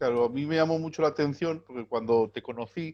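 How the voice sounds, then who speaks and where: A man speaks at a fairly quick pace with ordinary pitch variation. His is a normal speaking voice. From Spain, Gitano community. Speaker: video channel host. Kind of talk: interview.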